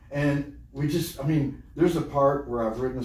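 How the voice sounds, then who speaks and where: Speaking with a Texan accent, a man moves at a fairly quick pace with ordinary pitch variation. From Texas. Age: 60s. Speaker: podcast host and event coordinator. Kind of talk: casual interview chat. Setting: recording studio. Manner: animated.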